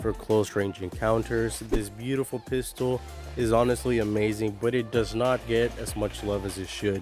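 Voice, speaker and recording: Music plays in the background as a man talks. His pitch sits fairly low and varies in an ordinary way. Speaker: mobile game commentator. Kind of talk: gaming commentary voice-over. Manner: casual.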